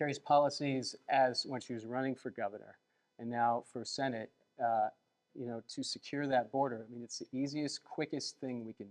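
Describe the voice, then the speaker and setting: Recorded dry and close with no echo, a man speaks at a moderate pace and a medium pitch. His intonation is fairly even, but his loudness swings widely. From United States, Colombian-American family. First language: Spanish. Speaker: candidate's husband. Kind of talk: interview. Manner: hesitant, many fillers.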